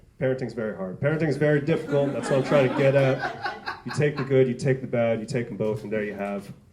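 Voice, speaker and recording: Words come at a very fast pace in an American accent, with ordinary pitch variation. Audible room echo and noticeable background noise surround the speech. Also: man, medium pitch for a man. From New York (the Bronx). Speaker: stand-up comedian. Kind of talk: stand-up. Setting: stage with audience. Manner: animated.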